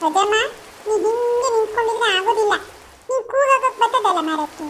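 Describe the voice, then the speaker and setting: In a cartoonish character voice, someone speaks at a moderate pace over clear background noise. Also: woman, extremely high pitch for a woman. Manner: coaxing.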